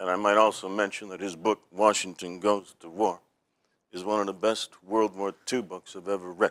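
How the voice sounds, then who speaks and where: A man with an American accent speaks at a fairly low pitch and moderate pace, in a monotone, flat intonation. The sound is dry and close with no echo, and his loudness swings widely. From Boston (South Boston). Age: 60s. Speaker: comedian. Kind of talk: casual chat.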